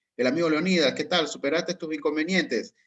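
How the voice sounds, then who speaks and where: A man's plain, everyday voice, fairly high in pitch, moves along at a moderate speed. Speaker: course instructor. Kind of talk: online class Q&A.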